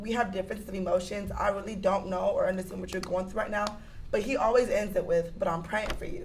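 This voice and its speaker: There is noticeable background noise and audible room echo. A woman talks at a fairly quick pace. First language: not English. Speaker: panelist. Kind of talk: casual chat. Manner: talkative.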